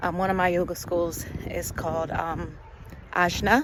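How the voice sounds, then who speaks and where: Someone with an American accent talks at a fairly slow pace over noticeable background noise. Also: woman. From USA. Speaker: English teacher. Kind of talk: casual talk to camera. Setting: outdoors.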